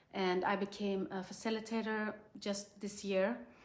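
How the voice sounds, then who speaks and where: A woman uses a normal speaking voice at medium pitch with fairly even intonation. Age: 40s. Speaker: energy healer. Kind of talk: interview testimony.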